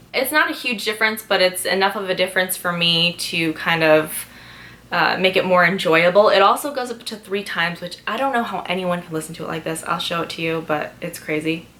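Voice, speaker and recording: At a fairly quick pace, a woman with a medium-pitched voice talks with ordinary pitch variation over noticeable background noise. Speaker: lifestyle vlogger. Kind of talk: sponsored product talk. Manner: fast; chatty.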